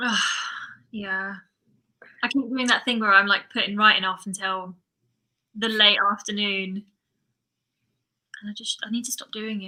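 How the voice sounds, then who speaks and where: Speaking at a moderate pace with an English accent, a woman with a medium pitch and a bright, sharp tone keeps a monotone, flat intonation, leaving long, frequent pauses amid big swings in loudness. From England. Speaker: thriller and horror author. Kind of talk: casual livestream chat.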